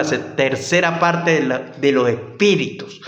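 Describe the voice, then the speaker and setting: With audible room echo and noticeable background noise, the voice shows ordinary pitch variation. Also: man. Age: 60s. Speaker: bible teacher. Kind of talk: bible study teaching. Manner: halting.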